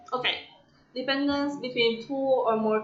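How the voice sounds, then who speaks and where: A woman with an Italian accent at a fairly slow pace, over noticeable background noise. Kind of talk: reading aloud. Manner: halting.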